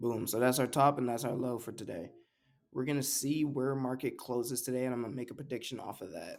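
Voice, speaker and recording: A man rattles along at a very fast pace and a medium pitch. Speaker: trading video creator. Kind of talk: screen-share chart analysis tutorial. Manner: fast, rushed speed run; casual, slangy.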